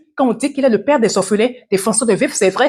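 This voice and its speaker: A woman with ordinary pitch variation. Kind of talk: devotional teaching.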